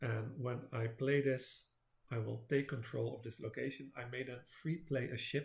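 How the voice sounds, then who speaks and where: This man talks at a moderate pace with vocal fry, fairly even intonation and a non-native accent. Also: medium pitch for a man. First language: not English. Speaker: board game video creator. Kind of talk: gameplay commentary. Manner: halting, many fillers.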